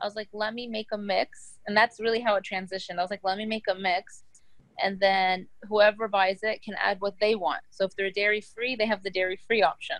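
A woman's plain, everyday voice at medium pitch, fairly quick in pace, with fairly even intonation. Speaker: business founder. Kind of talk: interview.

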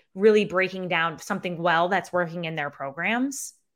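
Speaking with an upstate New York accent, a woman comes through on a very clean recording with a silent background. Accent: Syracuse, upstate New York. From Syracuse, New York. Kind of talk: casual interview chat. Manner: casual, candid, swears.

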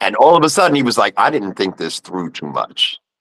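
This man speaks with a New York accent, vocal fry and very wide pitch swings, in a dry, close sound with no echo. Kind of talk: casual storytelling.

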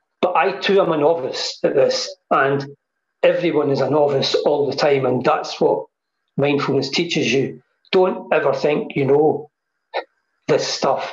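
A man speaks with a Scottish accent. His pace is moderate. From Scotland. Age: 60s. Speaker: mindfulness teacher. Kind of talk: casual chat.

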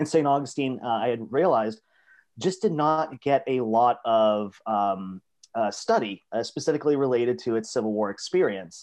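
A man with an American accent talks at a moderate pace in a medium pitch over a quiet background. He has a plain, everyday voice with ordinary pitch variation. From South Florida. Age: 30s. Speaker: history professor. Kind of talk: casual interview. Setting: video call.

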